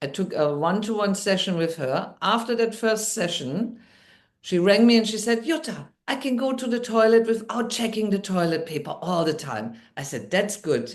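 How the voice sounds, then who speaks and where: A woman with a German accent talks at a moderate pace in a medium pitch, her intonation lively and touched with vocal fry. Audible room echo surrounds her voice. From Germany. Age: 60s. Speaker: NLP coach and midwife. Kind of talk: interview storytelling. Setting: podcast.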